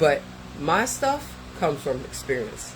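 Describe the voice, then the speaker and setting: A man is talking in a room with audible echo. Noticeable background noise can be heard too. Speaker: content creator reacting to a therapist's video. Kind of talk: reaction commentary monologue. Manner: casual, conversational.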